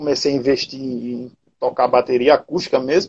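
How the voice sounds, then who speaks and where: A man talks at a moderate pace. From Paraíba, Brazil (Cabedelo). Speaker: retro gaming content creator. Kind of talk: casual interview chat.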